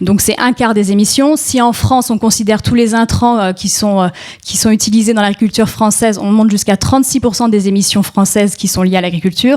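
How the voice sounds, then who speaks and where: A woman speaks at a fairly high pitch and a fairly quick pace. Her loudness stays very even and her intonation fairly even. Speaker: NGO policy officer on food sovereignty and climate. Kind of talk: panel talk. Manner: fast; hesitant, many fillers.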